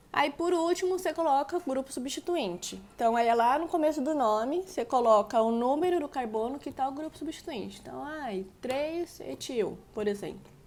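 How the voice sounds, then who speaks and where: A woman with a high pitch and lively intonation talks at a moderate pace with hardly any pauses. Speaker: chemistry teacher. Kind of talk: lecture.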